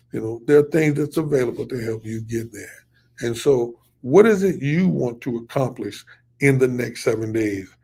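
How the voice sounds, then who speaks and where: A man speaks with a dark, mellow tone and lively intonation. His voice is somewhat breathy. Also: medium pitch for a man, moderate pace. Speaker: pastor and fundraising coach. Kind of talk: live stream teaching. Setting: live online broadcast. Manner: stuttering at times; casual, repetitive.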